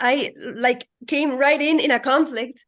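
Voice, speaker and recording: A high-pitched woman's voice in a Spanish accent. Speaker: works with children. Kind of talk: casual group video call.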